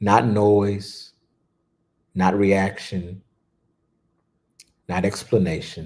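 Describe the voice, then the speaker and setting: A man with a fairly low pitch speaks at a very slow pace, leaving long, frequent pauses. His tone is soothing, with monotone, flat intonation. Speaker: spiritual teacher. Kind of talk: guided meditation. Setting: livestream. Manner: low, soothing tone.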